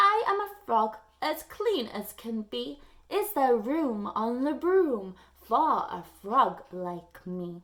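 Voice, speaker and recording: A woman speaks in a croaky, high-pitched, put-on character voice, swinging very widely in pitch at a very slow pace. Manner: politely pleading.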